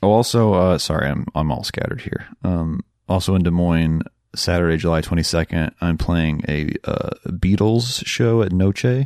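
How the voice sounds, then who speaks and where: Dry and close with no echo, a man with a very deep, low pitch speaks with an American accent and ordinary pitch variation. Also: moderate pace. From Minnesota (Rochester). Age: 30s. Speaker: guitarist and composer. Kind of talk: casual chat. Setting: home recording.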